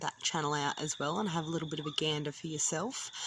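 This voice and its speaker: In an Australian accent, a woman talks with a very deep, low pitch. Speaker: vlogger. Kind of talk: casual vlog talk. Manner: casual, frequent ums.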